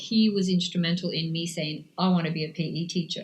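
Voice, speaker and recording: Somewhat breathy, the voice proceeds at a moderate tempo. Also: woman. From Canada. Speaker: cycling coach. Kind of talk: interview.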